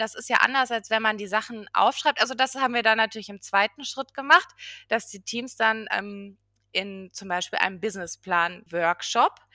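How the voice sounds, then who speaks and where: At a moderate pace, a woman with a fairly high pitch, ordinary pitch variation and a bright, sharp tone speaks in a dry, close sound with no echo, on a very clean recording with a silent background. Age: 30s. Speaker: regional business development project manager. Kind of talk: podcast interview.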